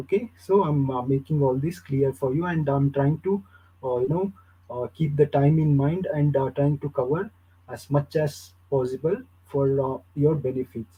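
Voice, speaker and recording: With an Indian accent, this voice moves at a moderate pace with ordinary pitch variation. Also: man, fairly high pitch for a man. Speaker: university lecturer. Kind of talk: lecture. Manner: halting.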